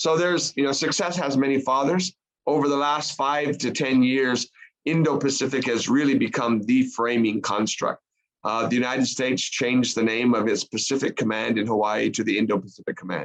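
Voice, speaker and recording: Speaking at a fairly quick pace in an American accent, a man uses a medium pitch with ordinary pitch variation. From US, Arizona. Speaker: foreign policy expert, panelist. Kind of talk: panel discussion. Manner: measured, with many fillers.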